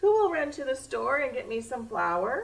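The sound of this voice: A woman puts on a character voice pitched high, swinging widely in pitch at a moderate pace, with vocal fry and audible room echo.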